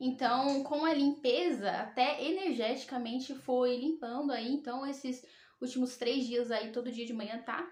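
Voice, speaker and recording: A woman's high-pitched voice. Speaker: tarot reader and spiritual youtuber. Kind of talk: personal testimony vlog.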